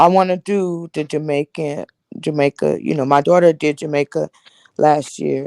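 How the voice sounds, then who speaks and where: A woman's very deep, low voice in an American accent, dark and mellow in tone, fairly slow and fairly even in intonation, with a dry, close sound and no echo. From Los Angeles, California. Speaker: live stream host. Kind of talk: casual chat. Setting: live stream.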